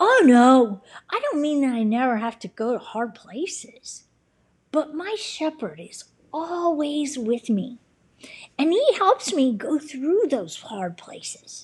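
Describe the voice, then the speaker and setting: At a fairly slow pace, this woman performs a put-on character voice pitched high. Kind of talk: bedtime story. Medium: read story. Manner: warm, sincere.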